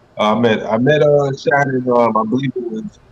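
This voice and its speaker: A man talks at a fairly quick pace with a slight Trinidadian accent. His pitch is medium. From Brooklyn, New York, Trinidadian parents. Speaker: former pro wrestler. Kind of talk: interview.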